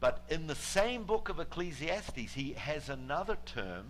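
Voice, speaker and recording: Heard with audible room echo, the speaker has a New Zealand accent. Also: man. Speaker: guest preacher. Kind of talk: sermon. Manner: halting, many fillers.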